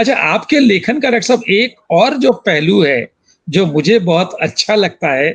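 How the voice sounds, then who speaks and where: His loudness stays very even throughout. A man with a high pitch makes very wide pitch swings. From Rajasthan. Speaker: talk show host and writer. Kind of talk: interview. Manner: formal.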